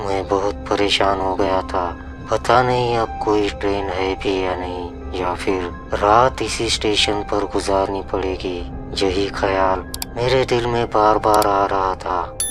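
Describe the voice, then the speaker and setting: Over loud background music, a man uses a put-on character voice, fairly low in pitch and fairly slow. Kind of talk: horror narration. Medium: read story.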